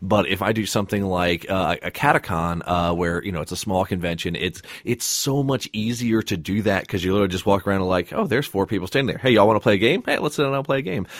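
A man speaks very fast in a fairly low voice with ordinary pitch variation. He barely pauses at all. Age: 20s. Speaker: podcast host. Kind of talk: casual chat.

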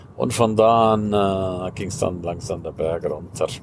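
The man's pitch is fairly low. He talks very slowly. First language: Romansh (speaking German). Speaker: life coach and podcaster. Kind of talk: casual monologue.

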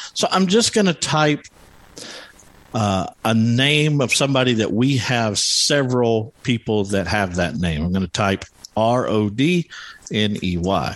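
Over noticeable background noise, a man at medium pitch speaks at a fairly slow pace with lively intonation. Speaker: podcast host. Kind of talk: live support group meeting. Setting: live online meeting with home audio mixer. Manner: screen reader demo, walking through menus.

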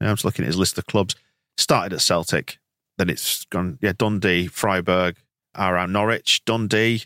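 A man speaks with a very deep, low pitch and a bright, sharp tone. His intonation is fairly even. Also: moderate pace. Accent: English. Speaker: podcast host. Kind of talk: casual chat.

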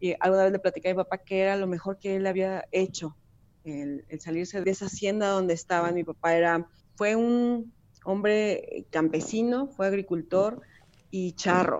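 A woman speaks with a Mexican accent. Her intonation is fairly even. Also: medium pitch for a woman, moderate pace. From Mexico. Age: 40s. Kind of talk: interview testimony.

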